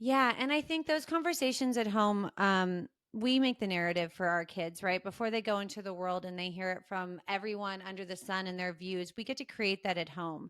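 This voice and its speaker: Speaking at a fairly quick pace with hardly any pauses, a woman of medium pitch uses lively intonation. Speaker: podcast co-host, coach. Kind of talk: podcast interview. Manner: loud.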